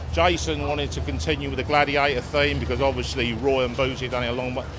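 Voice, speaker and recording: A man with an English accent speaks fairly quickly with very wide pitch swings. Noticeable background noise and audible room echo fill the recording. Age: 60s. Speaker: funny car team owner. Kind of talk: interview.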